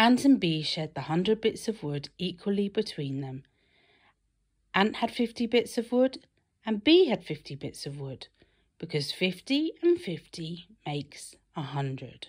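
With a British accent and a medium pitch, a woman speaks at a fairly slow pace with very wide pitch swings and big swings in loudness against a quiet background. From Britain. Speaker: mother. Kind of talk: children's story read-aloud. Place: home room. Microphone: phone near.

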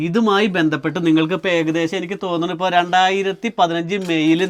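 Fairly even intonation from a man pitched high. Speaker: vlogger. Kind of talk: casual interview vlog. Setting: inside an old house.

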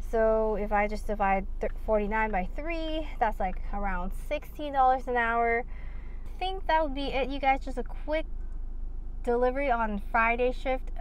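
Speaking at a moderate pace, a woman has a high pitch and ordinary pitch variation. The sound is dry with no echo, over light background noise. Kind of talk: casual vlog chat. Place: car. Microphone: phone near.

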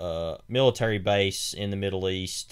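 A man's normal speaking voice, fairly low in pitch with fairly even intonation, in a very clean recording with a silent background. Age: 20s. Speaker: podcast co-host, film commentator. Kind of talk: casual chat.

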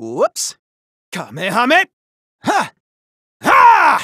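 In a put-on character voice with an extremely high pitch, a man speaks at a very slow pace. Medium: dub. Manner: energetic battle shouts, playful.

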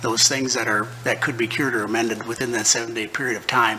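A man is speaking. Light background noise sits behind him. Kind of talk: formal advisory answer at meeting. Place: hall. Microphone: podium.

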